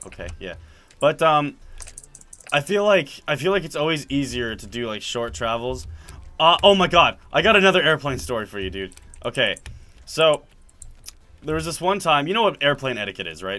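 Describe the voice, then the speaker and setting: At a moderate pace, a man with a fairly high pitch and vocal fry shows very wide pitch swings, big swings in loudness, and long, frequent pauses. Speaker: gaming video creator. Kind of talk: casual chat while gaming. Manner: halting, many fillers and restarts.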